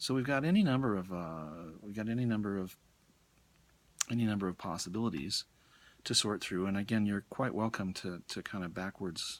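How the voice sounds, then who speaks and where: Soft-spoken and fairly low in pitch, a man with an American accent is heard on a very clean recording with a silent background. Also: ordinary pitch variation, fairly quick pace. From US, Colorado (Denver). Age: middle-aged. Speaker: college English professor. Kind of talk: lecture. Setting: bookstore.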